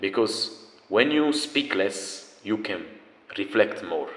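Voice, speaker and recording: This is a man speaking. He has a non-native accent. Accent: noticeable non-native. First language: not English. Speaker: self-improvement video creator. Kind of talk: motivational talk. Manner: casual, animated.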